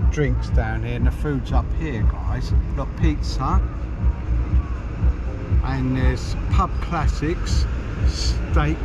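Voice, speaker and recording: With music in the background, a man talks very slowly in a dry sound that has no echo. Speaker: travel vlogger. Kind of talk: casual vlog commentary. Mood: cheerful, relaxed. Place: street. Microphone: phone near.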